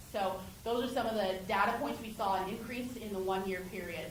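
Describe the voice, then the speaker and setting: There is audible room echo and noticeable background noise as a woman talks at a medium pitch with fairly even intonation. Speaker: homeless services outreach director. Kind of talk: public meeting Q&A. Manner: loud.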